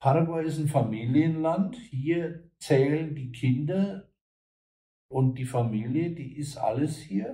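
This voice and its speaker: A man's fairly high, somewhat breathy voice with a dark, mellow tone at a very slow pace. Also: lively intonation. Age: old. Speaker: German emigrant and online businessman. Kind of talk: interview.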